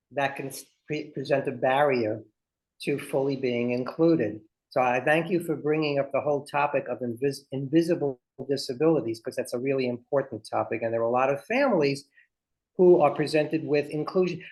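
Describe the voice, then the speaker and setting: With a Brooklyn accent, a man speaks at a fairly high pitch with ordinary pitch variation. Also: fairly quick pace. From Brooklyn, New York. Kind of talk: interactive workshop.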